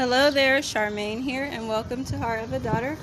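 Background noise is noticeable throughout. Through it, a woman talks. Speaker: podcast host. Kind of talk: interview conversation.

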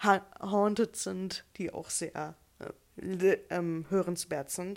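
The woman talks at a very slow pace. Her recording is very clean, with nothing heard behind her. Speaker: podcast co-host. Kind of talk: casual chat.

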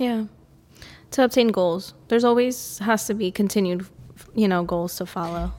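A woman at medium pitch talks at a moderate pace with ordinary pitch variation and long, frequent pauses. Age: 30s. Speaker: gym owner and fitness coach. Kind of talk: casual chat.

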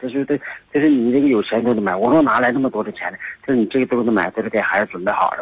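Words pour out of this man at a very fast pace. There is lively intonation throughout. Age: 60s. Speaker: caller. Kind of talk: phone call. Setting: phone call. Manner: halting.

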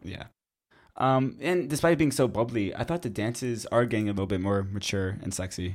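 On a very clean recording with a silent background, a man with a Canadian accent and an unremarkable speaking voice talks at a fairly quick pace in a medium pitch with lively intonation. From Canada. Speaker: podcast co-host. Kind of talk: casual chat.

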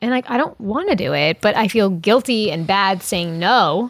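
A woman with an American accent has a plain, everyday voice at a medium pitch, with lively intonation. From US Northeast, Long Island, New York. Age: 30s. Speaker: actor. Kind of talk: casual chat.

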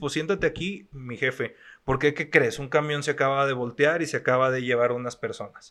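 Against a quiet background, a man speaks at a moderate pace. His voice is fairly high-pitched, with a bright, sharp tone. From Mexico, La Laguna region. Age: 30s. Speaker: actor and foundation director. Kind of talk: casual interview.

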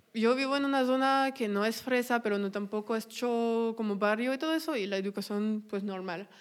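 A woman with a French accent speaks at a fairly high pitch and a moderate pace, with ordinary pitch variation. The recording is very clean, with a silent background. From France. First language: French (speaking Spanish). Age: 20s. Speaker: podcaster. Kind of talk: casual chat.

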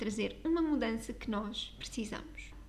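In a European Portuguese accent, a woman speaks at a fairly slow pace with audible room echo. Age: 20s. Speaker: style coach and podcast host. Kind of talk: solo podcast monologue.

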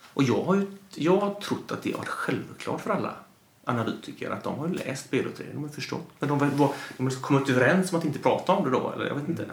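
Talking at a very fast pace, a man with a fairly high pitch and ordinary pitch variation is heard amid audible room echo and noticeable background noise. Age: 40s. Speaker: gambling industry commentator. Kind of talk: casual chat.

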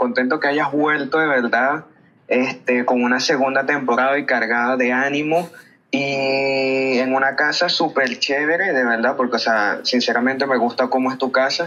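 A man with a Venezuelan accent speaks at a moderate pace in a medium pitch, his intonation fairly even and his loudness very even, with music playing in the background. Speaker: listener sending voice message. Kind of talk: recorded voice message. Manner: halting.

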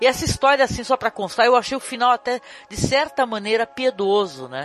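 Music plays in the background. The speaker has an animated tone and a moderate pace. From Brazil. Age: 50s. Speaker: podcast host. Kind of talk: casual chat.

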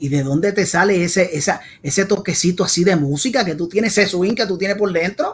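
At a fairly quick pace, a man with a Puerto Rican accent talks in a high pitch with ordinary pitch variation. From Puerto Rico (San Juan). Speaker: salsa podcast host. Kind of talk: casual interview. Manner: animated.

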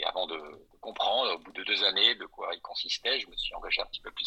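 At a fairly quick pace, a man is speaking. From Belgium and Alsace (Brussels, Strasbourg). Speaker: school support association president and consular councillor. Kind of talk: podcast interview.

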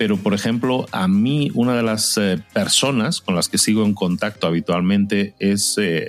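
A fairly low-pitched man's voice with ordinary pitch variation, against noticeable background noise. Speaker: podcaster. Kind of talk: interview.

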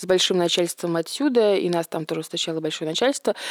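A woman at medium pitch with ordinary pitch variation and a dry, close sound with no echo. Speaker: restoration business owner. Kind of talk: casual chat.

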